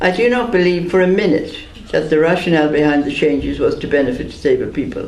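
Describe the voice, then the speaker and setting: A man with an Irish accent, with audible room echo and noticeable background noise. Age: 70s. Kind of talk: prepared speech read aloud. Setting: press conference.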